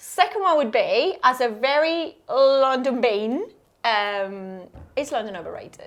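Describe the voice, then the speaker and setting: A woman speaks in a high pitch. Her pitch swings very widely. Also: fairly slow pace. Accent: Spanish. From northern Spain. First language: Spanish. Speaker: podcast host. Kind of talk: casual chat.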